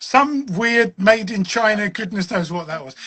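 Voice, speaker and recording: The speech moves at a fairly slow pace in a southern English accent, with ordinary pitch variation. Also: man. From southern England, Westcliff-on-Sea, Essex. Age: 60s. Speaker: wargaming author and designer. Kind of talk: casual chat.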